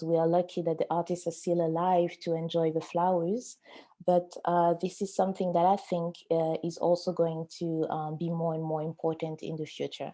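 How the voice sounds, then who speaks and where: A woman with a French accent talks at a moderate pace with hardly any pauses, her fairly low pitch, dark, mellow tone and monotone, flat intonation. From Africa (francophone). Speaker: auction house art specialist. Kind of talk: webinar panel discussion.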